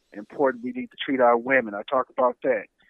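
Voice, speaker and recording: With an unremarkable speaking voice, a man talks at a medium pitch with fairly even intonation. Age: 50s. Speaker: retired army veteran and author. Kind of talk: interview.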